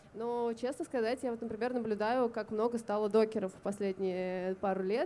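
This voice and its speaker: This woman has a normal speaking voice at a fairly high pitch. She keeps a moderate pace and fairly even intonation. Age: 30s. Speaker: fashion designer. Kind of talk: open panel discussion. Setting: live recording at a festival.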